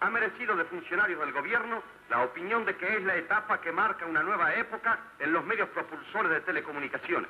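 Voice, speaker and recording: Through noticeable background noise, a man speaks at a fairly quick pace with very even loudness and ordinary pitch variation. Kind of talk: vintage tv documentary narration. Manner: stately, formal, declamatory newsreel-style delivery.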